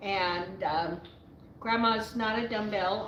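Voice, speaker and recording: A woman talks at a fairly slow pace with fairly even intonation. There is audible room echo. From Navajo reservation, US Southwest. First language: Navajo. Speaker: YouTuber answering viewer questions. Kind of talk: live Q&A, casual storytelling. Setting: live stream. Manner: rambling with frequent fillers and restarts.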